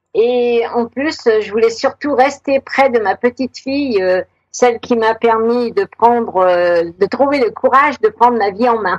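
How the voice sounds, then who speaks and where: A woman's fairly high voice, fairly slow in pace, with ordinary pitch variation. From Savoie, France. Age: 60s. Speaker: retired author. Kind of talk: radio interview. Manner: hesitant, many fillers.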